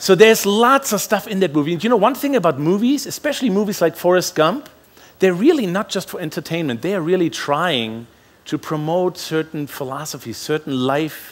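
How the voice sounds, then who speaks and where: With a German accent, a man speaks at a high pitch and makes very wide pitch swings. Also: fairly quick pace. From Germany. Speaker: pastor. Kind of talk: sermon.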